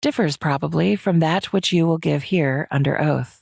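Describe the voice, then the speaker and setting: A woman speaks in a put-on character voice with a very deep, low pitch at a moderate pace. Her loudness stays very even, and the recording is very clean with a silent background. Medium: read story. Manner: stern, dry, authoritative.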